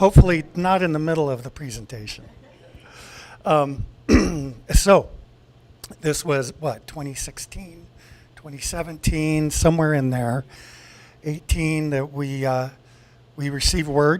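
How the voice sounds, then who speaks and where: A man speaks fairly slowly at a fairly high pitch, with ordinary pitch variation. He leaves long, frequent pauses, and his loudness swings widely. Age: 60s. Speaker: radio systems engineer. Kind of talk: conference presentation. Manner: halting, with fillers and repetitions.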